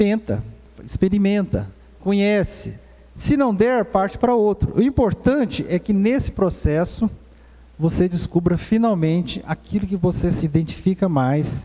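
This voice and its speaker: A man's high-pitched voice, dark and mellow in tone, with lively intonation, very even loudness and a fairly slow pace. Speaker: presbyter teaching a church course. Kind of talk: church course lecture.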